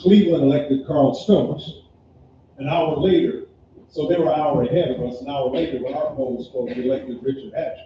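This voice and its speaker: Against noticeable background noise, a man with an American accent talks at a fairly quick pace, his fairly high pitch showing ordinary variation. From US Midwest (Gary, Indiana). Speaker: panelist sharing personal history. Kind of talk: panel discussion, personal recollection. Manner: repetitive, self-correcting.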